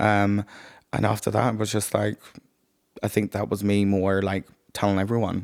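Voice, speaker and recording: Speaking in a monotone with flat intonation and a Northern Irish accent, a man with a fairly low pitch keeps his loudness very even at a moderate pace, leaving long, frequent pauses in a dry, close sound with no echo. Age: 30s. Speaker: podcast guest. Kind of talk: casual chat.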